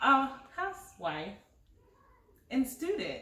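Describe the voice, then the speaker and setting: Noticeable background noise and audible room echo surround a woman speaking in a fairly high pitch. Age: 40s. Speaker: channel co-host, life coach. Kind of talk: casual chat. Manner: animated.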